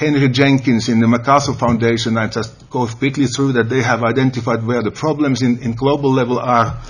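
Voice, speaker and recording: A man's voice carries audible room echo. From Finland. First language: Finnish. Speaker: educator, conference panelist. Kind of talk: conference presentation. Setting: panel at a senate hall. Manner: halting.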